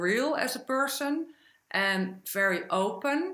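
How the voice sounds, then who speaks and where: Very wide pitch swings run through a bright, sharp tone. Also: woman. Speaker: accounting business owner and media commentator. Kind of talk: podcast interview. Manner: hesitant, frequent fillers.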